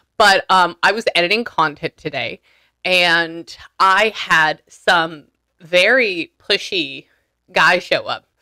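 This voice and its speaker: A woman with ordinary pitch variation, against a quiet background. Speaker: spiritual medium host. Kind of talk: casual chat with client. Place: home room. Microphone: studio mic.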